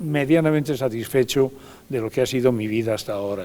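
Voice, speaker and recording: A man talks with a medium pitch. Behind him, music plays. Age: 80s+. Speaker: retired politician. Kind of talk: TV interview. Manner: halting, many repetitions.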